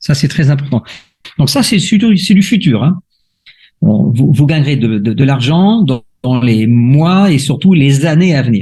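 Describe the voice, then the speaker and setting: A fairly high male voice, dark and mellow and somewhat breathy, with lively intonation, very even loudness and a fairly slow pace. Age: 60s. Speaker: crypto investment promoter. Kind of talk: sales pitch. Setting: video call. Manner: explanatory, with frequent hesitations.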